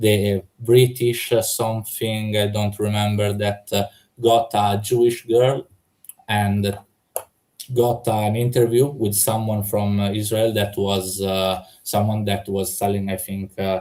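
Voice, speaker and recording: The speech moves at a very slow pace with monotone, flat intonation. It is delivered in a non-native accent. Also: man, fairly low pitch for a man. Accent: foreign. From Italy. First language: Italian. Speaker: debater. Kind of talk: heated debate. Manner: halting, many fillers.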